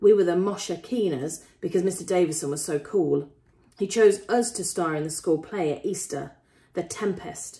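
Lively intonation in a natural reading voice.

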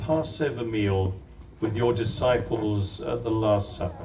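The speaker has an English accent and talks at a fairly slow pace. Noticeable background noise can be heard. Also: man. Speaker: priest performing blessing. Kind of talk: blessing ritual with call-and-response translation. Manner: fervent, prayerful, heartfelt in the blessing. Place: garden.

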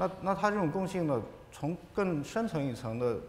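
Very wide pitch swings from a man at a moderate pace, with audible room echo and light background noise. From China, Ningxia. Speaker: artist and scholar; panelist. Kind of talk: panel discussion. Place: hall.

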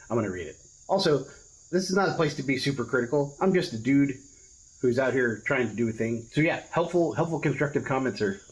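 Somewhat breathy, a man speaks at a very fast pace with lively intonation. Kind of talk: casual vlog chat. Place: garage.

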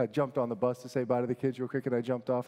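A man's animated, warm tone against a quiet background. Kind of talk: homily to a conference audience. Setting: conference, live audience. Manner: animated, warm, conversational with humor; earnest, exhortative when preaching. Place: hall. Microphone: headset.

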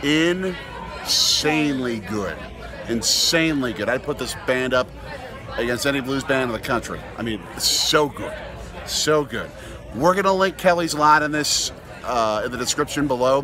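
At a fairly slow pace, a man speaks over noticeable background noise. The sound is dry with no echo. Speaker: father vlogger. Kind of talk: casual vlog chat. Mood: enthusiastic, upbeat. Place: street. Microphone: phone near.

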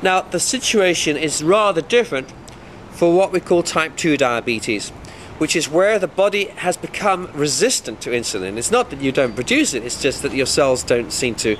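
With lively intonation and a fairly bright tone, a man with a fairly high pitch speaks at a moderate pace.

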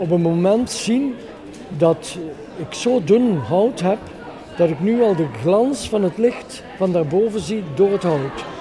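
Crowd noise carries in the background. The speech comes at a very slow pace with ordinary pitch variation. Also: man. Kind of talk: demonstration explanation. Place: hall. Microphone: handheld.

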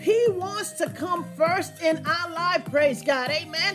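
Clear music plays in the background. The pitch varies in an ordinary way. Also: woman. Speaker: preacher or Bible teacher. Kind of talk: sermon. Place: home room.

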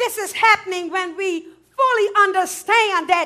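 A woman's raised, projected voice at an extremely high pitch, with a bright, sharp tone, ordinary pitch variation and a quiet background. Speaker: preacher. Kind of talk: sermon delivery. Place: church. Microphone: headset.

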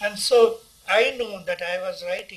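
A man's voice with an Indian accent. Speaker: poet. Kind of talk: interview answer. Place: home room. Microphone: phone near.

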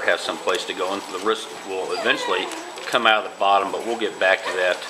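A man speaks over noticeable background noise. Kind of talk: tutorial. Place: home room. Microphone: phone near.

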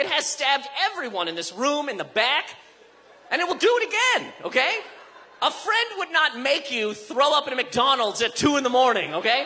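Raised and projected, a man's extremely high voice makes very wide pitch swings. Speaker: stand-up comedian. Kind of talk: stand-up comedy set, delivered to a live club audience. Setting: stage with audience. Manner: punchy, conversational, animated; rapid-fire riffing with mock-outraged emphasis and character voices. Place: stage. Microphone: handheld.

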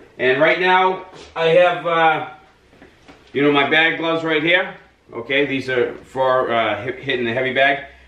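Audible room echo surrounds a man who talks at a moderate pace with fairly even intonation. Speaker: boxing trainer. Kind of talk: tutorial. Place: gym. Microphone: camera far.

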